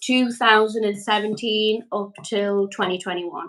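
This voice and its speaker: A woman's medium-pitched voice with a Geordie accent and fairly even intonation. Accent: Geordie, sounds Scottish to an American. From northeast England, Newcastle upon Tyne. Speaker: energy healer and mother. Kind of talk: casual interview.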